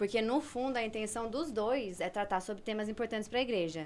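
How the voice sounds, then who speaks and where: This is a woman with a normal speaking voice. Her pitch varies in an ordinary way. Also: very clean recording, silent background. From Brazil, moved around; long stay in Argentina. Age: 20s. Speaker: theologian. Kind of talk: explanatory discussion.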